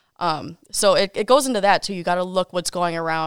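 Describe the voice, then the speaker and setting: At a fairly quick pace, a woman with an ordinary speaking voice and fairly low pitch comes through on a very clean recording with a silent background and a dry, close sound with no echo. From Wisconsin, Kenosha. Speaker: TV meteorologist. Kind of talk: casual interview.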